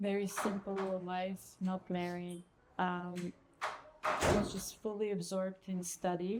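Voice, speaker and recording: A woman with a Bulgarian accent speaks at medium pitch and a fairly slow pace, with long, frequent pauses. Her intonation is monotone and flat, and there is noticeable background noise. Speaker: restaurant founder and Ayurvedic chef. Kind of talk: casual interview. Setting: restaurant.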